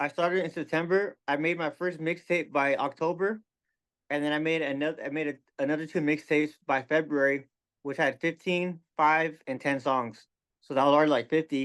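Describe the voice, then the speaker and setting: A man's mumbling, fairly high voice at a moderate pace, with fairly even intonation over a quiet background. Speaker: rapper. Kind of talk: casual interview chat. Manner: careful enunciation.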